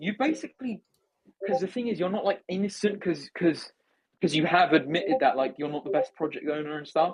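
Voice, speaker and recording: In an English accent, a man talks at a fairly quick pace, his high pitch carrying lively intonation. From England. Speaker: discord space host. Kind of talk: heated debate. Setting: online voice chat. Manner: animated.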